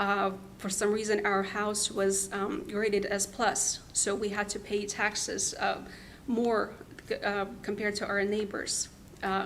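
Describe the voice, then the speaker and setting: A woman speaks at medium pitch and a fairly slow pace in a monotone, flat intonation, with audible room echo. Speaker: taxpayer appealing property value. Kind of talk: public hearing testimony. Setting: county board meeting. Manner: halting, many fillers and restarts.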